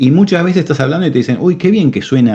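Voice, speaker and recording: The man's voice has a dark, mellow tone. He rushes along at a very fast pace. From Argentina. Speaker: cardiac technician and business owner. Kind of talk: interview. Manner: animated.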